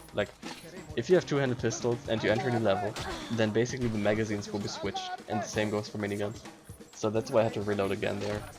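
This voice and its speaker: A man with a fairly low pitch talks at a very fast pace with fairly even intonation. Music plays in the background. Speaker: speedrunner. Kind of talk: speedrun commentary. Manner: casual.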